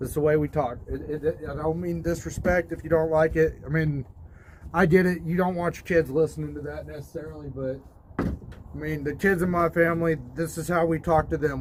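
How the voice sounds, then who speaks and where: Noticeable background noise sits behind a man with an American accent who speaks at a moderate pace and a fairly high pitch. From US South. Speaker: DIY video host. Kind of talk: casual vlog talk. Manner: casual, halting with repetitions.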